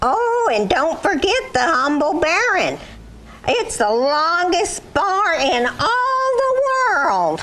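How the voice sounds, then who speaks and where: An extremely high cartoonish character voice speaks at a very slow pace with very wide pitch swings over clear background noise. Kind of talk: puppet skit comedy. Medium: puppet show. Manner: folksy, sing-song rhyming.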